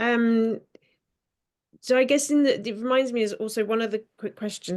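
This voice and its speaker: A woman speaks at a fairly quick pace with a fairly high pitch and fairly even intonation over a quiet background. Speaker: interfaith show host. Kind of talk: interfaith discussion. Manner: hesitant, bumbling.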